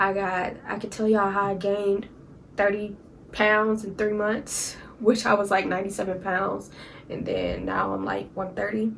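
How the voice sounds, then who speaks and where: Audible room echo surrounds the voice. It moves at a moderate pace with monotone, flat intonation. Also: woman. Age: 20s. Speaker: YouTuber. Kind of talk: story time vlog. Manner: casual, conversational.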